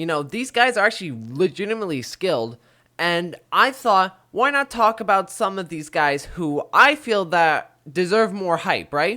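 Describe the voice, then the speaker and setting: Raised, projected speech with an energetic, bright, sharp tone and very wide pitch swings, at a moderate pace, in a very clean recording with a silent background. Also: man, high pitch for a man. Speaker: MMA commentary YouTuber. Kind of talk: casual talk to camera. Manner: casual, energetic.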